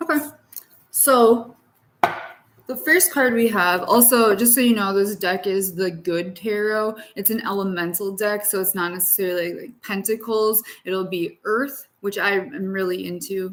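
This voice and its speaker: The delivery is fairly slow, in an ordinary speaking voice. Pitch varies in an ordinary way. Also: woman, medium pitch for a woman. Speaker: tarot reader. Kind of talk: tarot reading livestream. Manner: casual.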